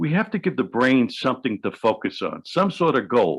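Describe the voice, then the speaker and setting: A man in a New York accent, lively intonation, a moderate pace and a quiet background. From New York City. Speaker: hypnotherapist. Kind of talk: interview.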